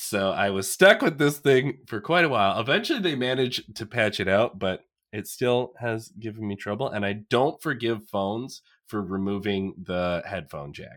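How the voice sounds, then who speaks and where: The recording is very clean, with a silent background. A man with an ordinary speaking voice talks at a moderate pace and medium pitch with lively intonation. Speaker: guest co-host, former gaming friend. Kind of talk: casual chat.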